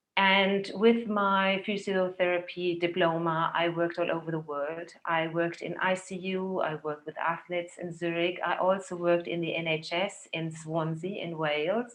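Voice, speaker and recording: With hardly any pauses, a woman speaks at a moderate pace in a German accent, her intonation fairly even, against noticeable background noise. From Germany. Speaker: physiotherapist and holistic health therapist. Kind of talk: talk to a women's group. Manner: halting.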